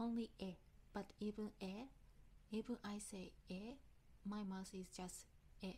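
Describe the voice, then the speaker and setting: In a Japanese accent, a woman speaks at a fairly slow pace and medium pitch, her somewhat breathy voice dark and mellow in tone, with fairly even intonation and long, frequent pauses. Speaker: English learner vlogger. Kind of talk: casual vlog talk. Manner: halting.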